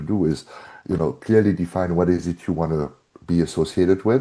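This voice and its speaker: A man with a German accent speaks at a very deep, low pitch in a dark, mellow tone. He moves at a fairly quick pace with ordinary pitch variation. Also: quiet background. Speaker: brand strategist and author. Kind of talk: podcast interview.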